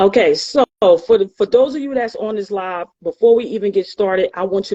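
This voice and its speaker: A woman with a New York accent speaks at a fairly quick pace in a dark, mellow tone with lively intonation, the sound dry and close with no echo. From New York City, the Bronx. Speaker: tax practitioner and author. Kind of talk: motivational talk in interview. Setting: online live stream.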